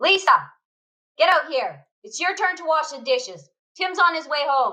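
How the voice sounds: A woman's put-on character voice, high-pitched, bright and sharp, at a fairly slow pace with big pitch swings.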